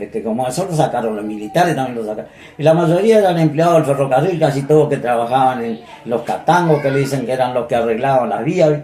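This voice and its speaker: Over noticeable background noise, a man with a fairly high voice and an Argentine Litoral accent speaks very fast with lively intonation. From Entre Ríos, Argentina. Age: 80s+. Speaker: retired municipal purchasing chief. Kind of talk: oral history interview answer.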